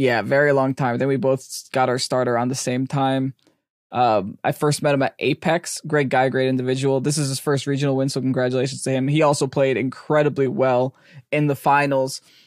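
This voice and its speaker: A man speaks in a monotone with flat intonation. The sound is dry and close with no echo, in a very clean recording with a silent background. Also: medium pitch for a man, fairly quick pace. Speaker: podcast co-host and competitive player. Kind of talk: casual chat. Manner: loud; laughs often.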